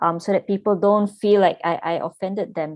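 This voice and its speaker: A woman talks at a fairly quick pace and a medium pitch, with ordinary pitch variation. The sound is dry and close with no echo over a quiet background. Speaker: talk show host. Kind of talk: panel discussion. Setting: video call. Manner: loud.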